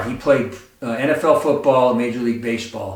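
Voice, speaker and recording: Amid noticeable background noise and audible room echo, a man talks at medium pitch with ordinary pitch variation. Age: 60s. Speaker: fitness YouTuber. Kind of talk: tutorial. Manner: casual, conversational with fillers.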